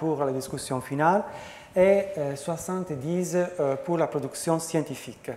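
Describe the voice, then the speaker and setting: A man with an Italian accent talks in a fairly high voice with ordinary pitch variation, with audible room echo and noticeable background noise. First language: Italian (speaking French). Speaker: professor. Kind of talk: conference talk. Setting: conference with audience. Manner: halting, many hesitations; slow.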